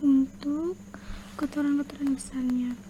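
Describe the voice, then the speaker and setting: A woman speaks in a high pitch. Noticeable background noise runs underneath. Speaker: ASMR creator doing dentist roleplay. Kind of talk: ASMR dentist roleplay, explaining a teeth cleaning. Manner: soft-spoken, slow.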